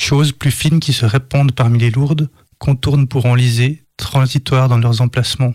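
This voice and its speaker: A man with a Swiss accent talks at a medium pitch, somewhat breathy. His intonation is monotone and flat, and the sound is dry and close with no echo. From Switzerland, Lausanne. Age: 30s. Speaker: poet. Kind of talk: poetry reading. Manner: halting.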